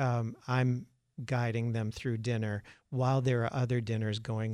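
In a very clean recording with a silent background, a man with a normal speaking voice talks at a fairly slow pace and a medium pitch. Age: 50s. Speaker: museum representative. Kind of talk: radio interview.

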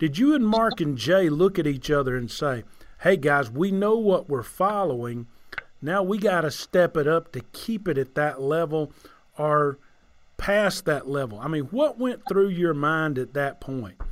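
With a Southern US accent, a man speaks at a fairly high pitch. His pace is fairly slow and his intonation lively. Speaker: podcast host. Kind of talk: casual chat. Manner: animated.

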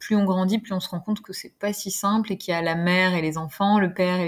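A woman's medium-pitched, somewhat breathy voice, fairly quick with fairly even intonation, on a very clean recording with a silent background. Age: 40s. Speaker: pediatric nurse and parent. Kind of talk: podcast interview. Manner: hesitant, many fillers.

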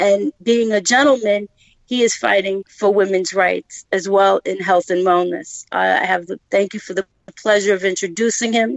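A woman speaks with a Brooklyn accent and a medium pitch. Her pace is moderate and her pitch variation ordinary. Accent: Brooklyn, New York. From Brooklyn, New York. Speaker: podcast guest, business founder; former teacher, community advocate.

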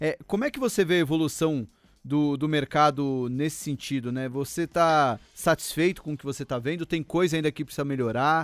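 A man's unremarkable speaking voice, fairly high-pitched, with ordinary pitch variation and a fairly quick pace, in a very clean recording with a silent background and dry, close sound with no echo. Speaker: podcast host. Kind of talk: casual interview.

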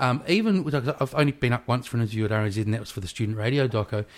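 A man with a New Zealand accent and lively intonation. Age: 40s. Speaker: podcast host. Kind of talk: casual chat. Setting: home kitchen.

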